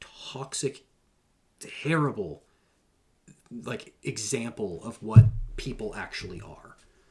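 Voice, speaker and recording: A man with an American accent speaks at a very slow pace in a medium-pitched voice with vocal fry, leaving long, frequent pauses. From New Hampshire, US. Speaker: content creator and veteran. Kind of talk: podcast interview. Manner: casual, halting with fillers.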